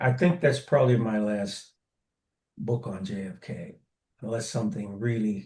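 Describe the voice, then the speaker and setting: Fairly slow and somewhat breathy, a man speaks in a dark, mellow tone at a fairly low pitch with ordinary pitch variation. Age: 70s. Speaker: author and retired teacher. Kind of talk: interview. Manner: halting.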